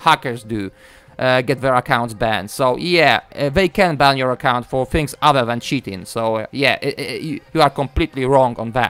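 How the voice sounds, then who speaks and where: In a Polish accent, a man speaks at a moderate pace in a fairly high voice with ordinary pitch variation. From Poland. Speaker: gaming YouTuber. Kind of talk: video commentary rant.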